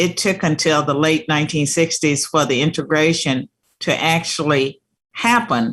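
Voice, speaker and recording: In a very clean recording with a silent background, a woman with a very deep, low pitch speaks at a moderate pace, her loudness very even and her pitch variation ordinary. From Virginia, US South. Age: 60s. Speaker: talk show host. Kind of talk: interview.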